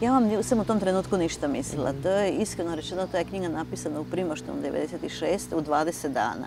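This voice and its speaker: The sound is dry, with no echo, and music plays clearly in the background. The pace is moderate, with hardly any pauses. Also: woman. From eastern Croatia (Slavonia); Croatia. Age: 60s. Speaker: writer and university lecturer; university lecturer. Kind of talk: TV interview. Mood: calm, reflective. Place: garden.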